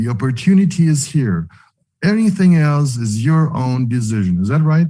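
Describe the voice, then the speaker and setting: This man speaks at a fairly high pitch with very wide swings, at a moderate pace. His tone is dark and mellow and somewhat breathy. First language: not English. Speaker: online meeting host. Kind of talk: online leadership call interview. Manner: halting.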